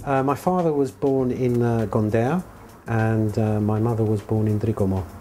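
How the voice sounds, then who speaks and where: A man with a London accent talks at a moderate pace and medium pitch. His pitch variation is ordinary and his loudness very even. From England (London), Cypriot heritage. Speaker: Formula One team member. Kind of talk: interview. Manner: hesitant, filler-heavy.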